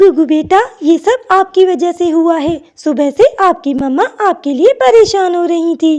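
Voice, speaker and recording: Doing a cartoonish character voice, a woman speaks at an extremely high pitch with lively intonation and a moderate pace. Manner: caring, concerned.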